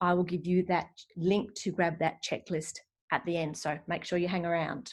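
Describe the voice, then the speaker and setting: Speaking in an Australian accent, a woman with a fairly low pitch keeps a monotone, flat intonation. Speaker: decluttering coach. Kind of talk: live webinar presentation. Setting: live online stream. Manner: fast.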